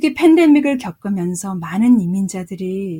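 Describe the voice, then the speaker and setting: Speaking fairly slowly, a woman with a medium-pitched, dark, mellow and somewhat breathy voice is heard in a dry, close recording with no echo. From South Korea. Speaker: jazz vocalist and professor. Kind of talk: interview. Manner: halting, many fillers.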